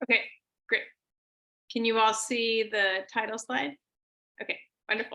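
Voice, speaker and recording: An American accent in a bright, sharp tone, with fairly even intonation and long, frequent pauses. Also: woman, fairly high pitch for a woman. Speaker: computer science professor giving a keynote. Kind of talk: lecture. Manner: trying to speak slowly.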